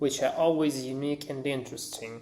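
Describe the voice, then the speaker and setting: Speaking in a monotone, flat way, a man with a non-native accent has a fairly high pitch. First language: not English. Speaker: independent game developer. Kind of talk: recorded anniversary message. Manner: halting, many filler words.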